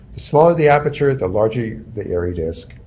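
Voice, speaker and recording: Both audible room echo and noticeable background noise accompany a man's voice. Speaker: photography instructor. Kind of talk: lecture.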